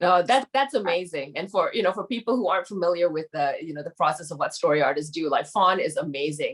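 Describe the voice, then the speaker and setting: A woman with a fairly low pitch and lively intonation, very fast with hardly any pauses. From Malaysia. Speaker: screenwriter. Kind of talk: casual chat. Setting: video call.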